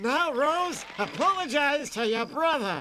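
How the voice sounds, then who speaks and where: Clear background noise sits behind a man doing a cartoonish character voice at an extremely high pitch and a fairly slow pace. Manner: rambling, hesitant.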